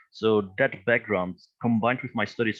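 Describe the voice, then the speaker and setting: With a non-native accent, a man talks at a moderate pace using fairly even intonation. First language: not English. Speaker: crypto educator, company founder. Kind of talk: interview. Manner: halting.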